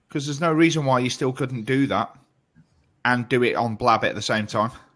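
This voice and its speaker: A man talks fairly quickly with a British accent. His pitch is medium and his intonation fairly even. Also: very clean recording, silent background. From UK. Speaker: online show co-host. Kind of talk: casual chat.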